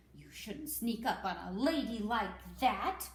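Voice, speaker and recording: A female-sounding voice does a put-on character voice at fairly high pitch. The pace is fairly slow. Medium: read story. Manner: dry, proud.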